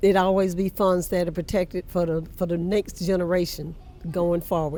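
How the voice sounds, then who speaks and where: In a South Carolina accent, a woman with a fairly low pitch speaks at a moderate pace with monotone, flat intonation. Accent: US Southern, South Carolina. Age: 80s+. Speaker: church historian. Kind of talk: interview.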